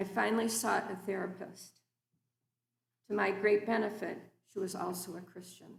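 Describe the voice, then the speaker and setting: Somewhat breathy and heard with audible room echo, a woman speaks at a moderate pace in a medium pitch with flat, monotone intonation, big swings in loudness, and long, frequent pauses. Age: 60s. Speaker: guest preacher. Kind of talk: sermon. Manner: formal.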